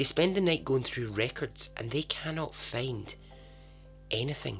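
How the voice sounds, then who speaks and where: Over music in the background, a man talks at a fairly slow pace and a medium pitch. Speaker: podcast host. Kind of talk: podcast true story narration. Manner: casual, humorous.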